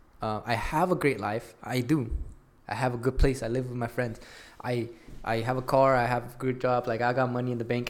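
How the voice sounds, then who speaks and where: A man at a medium pitch talks at a fairly quick clip in a flat, monotone delivery. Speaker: podcast host. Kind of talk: casual chat. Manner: casual, slangy.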